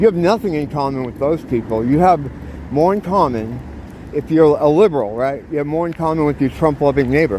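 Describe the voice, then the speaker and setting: A man with a fairly high pitch talks at a fairly quick pace. His intonation is lively, and noticeable background noise can be heard. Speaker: vlogger. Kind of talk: casual vlog monologue while walking. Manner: fast; animated.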